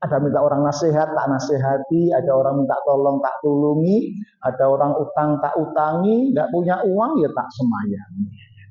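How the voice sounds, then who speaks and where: A man's somewhat breathy, fairly high voice with lively intonation, in audible room echo. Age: 60s. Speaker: Islamic preacher. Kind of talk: sermon. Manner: animated.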